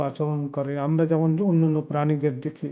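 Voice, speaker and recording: A man with a calm tone. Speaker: audiobook narrator. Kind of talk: audiobook reading of philosophical essays. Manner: calm, contemplative.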